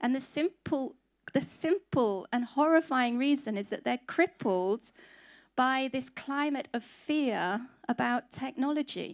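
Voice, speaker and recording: A woman speaks at a fairly slow pace with a high pitch and lively intonation. The sound is dry and close with no echo, in a very clean recording with a silent background. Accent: English. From England. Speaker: conference speaker on food industry. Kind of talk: conference talk.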